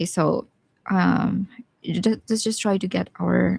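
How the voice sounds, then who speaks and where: A woman with a Visayan accent. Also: dry, close sound with no echo. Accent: Bisaya. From Philippines, Bisaya-speaking region. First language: Bisaya (Cebuano). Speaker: watercolor artist. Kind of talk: live painting tutorial. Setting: live stream. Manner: casual, chatty.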